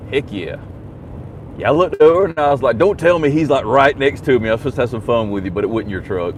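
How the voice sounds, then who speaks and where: A loud man at a very fast pace, with very wide pitch swings and noticeable background noise. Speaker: YouTube livestreamer. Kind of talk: casual live stream chat.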